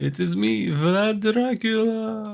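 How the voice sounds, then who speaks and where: A put-on character voice at a fairly high pitch. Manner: menacing, theatrical.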